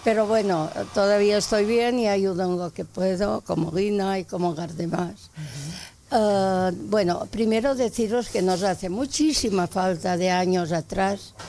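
This woman's voice sits at a medium pitch and has a dark, mellow tone. She talks at a fairly slow pace with ordinary pitch variation. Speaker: neighbourhood volunteer. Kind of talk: casual chat.

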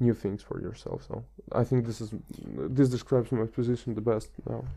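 A man with a non-native accent. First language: not English. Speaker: transport planner. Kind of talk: casual chat.

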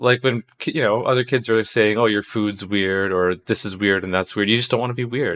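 In a Canadian accent and a normal speaking voice, a man with a fairly low pitch talks at a fairly quick pace, with fairly even intonation and hardly any pauses. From Canada, Toronto. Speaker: game developer. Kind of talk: casual interview.

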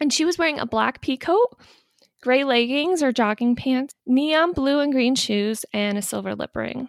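The voice belongs to a woman with a high pitch. Her pace is moderate. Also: ordinary pitch variation. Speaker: podcast host. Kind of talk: casual chat. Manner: interrupts often.

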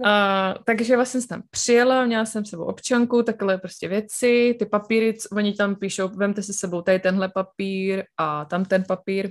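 A woman has an ordinary speaking voice at a medium pitch. She talks at a moderate pace with fairly even intonation. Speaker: podcast co-host. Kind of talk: casual chat.

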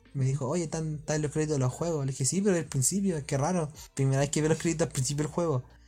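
A very fast, somewhat breathy voice with a Chilean accent and fairly even intonation, in a very clean recording over a silent background. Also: man, fairly high pitch for a man. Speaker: podcast host. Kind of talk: casual chat.

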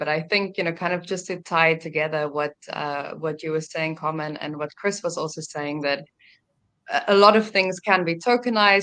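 A woman with a plain, everyday voice speaks at a moderate pace and a fairly low pitch, her pitch varying an ordinary amount over a quiet background. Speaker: blockchain entrepreneur and talk show host. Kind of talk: panel discussion.

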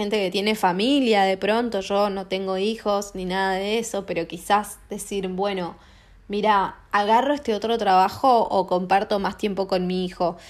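On a very clean recording with a silent background, a woman talks at a moderate pace with a medium pitch and fairly even intonation. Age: 30s. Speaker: podcast host. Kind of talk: casual monologue. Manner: halting, many fillers. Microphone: not using new mic.

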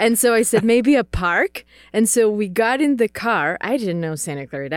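In a very clean recording with a silent background and a dry, close sound with no echo, a woman with a Czech accent speaks at a moderate pace, her fairly high pitch carrying lively intonation. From Czech Republic. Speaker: missionary. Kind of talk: casual interview conversation.

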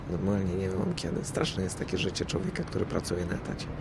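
Delivery is very fast, with fairly even intonation. Audible room echo and noticeable background noise are present. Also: man. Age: middle-aged. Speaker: podcaster. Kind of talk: casual monologue. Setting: outdoors on a rooftop. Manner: halting.

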